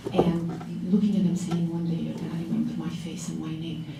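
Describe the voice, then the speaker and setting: With music in the background and audible room echo, a woman speaks in a fairly low, monotone voice with flat intonation. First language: not English (English is third language). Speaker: lawyer, law firm owner. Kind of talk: panel talk to law students.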